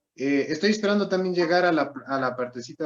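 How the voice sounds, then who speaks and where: A man speaks at a moderate pace with ordinary pitch variation. He has a slight Ecuadorian accent. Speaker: student. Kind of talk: class question.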